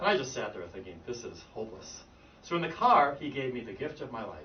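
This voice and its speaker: A man talks at a fairly quick pace and a medium pitch, with very wide pitch swings, big swings in loudness and noticeable background noise. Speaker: English pronunciation teacher. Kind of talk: group lesson storytelling. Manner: talkative, verbal.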